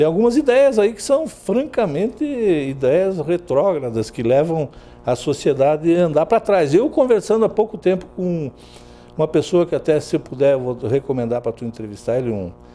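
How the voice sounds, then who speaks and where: Over background music, a man talks at a moderate pace with very wide pitch swings. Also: fairly high pitch for a man. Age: 60s. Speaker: journalist. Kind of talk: interview.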